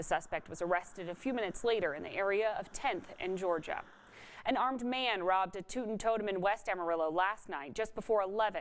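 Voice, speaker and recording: A woman speaks at medium pitch in a normal speaking voice. Her pace is fairly quick, with ordinary pitch variation. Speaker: television anchor, reporter and lifestyle show host. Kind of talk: local TV news anchor read. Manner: clear, professional, measured.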